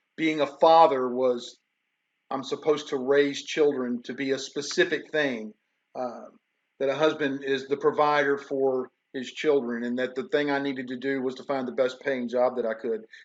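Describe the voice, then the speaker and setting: At a moderate pace, a man talks in a Tennessee accent with monotone, flat intonation. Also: medium pitch for a man. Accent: Southern American (Tennessee). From US South, Memphis, Tennessee. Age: 60s. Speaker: professor. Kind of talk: lecture. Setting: online livestream. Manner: conversational, unscripted.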